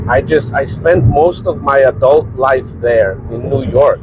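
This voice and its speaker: Noticeable background noise under a man's medium pitch with ordinary variation. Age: 40s. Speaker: vlogger and small business owner. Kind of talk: casual vlog monologue.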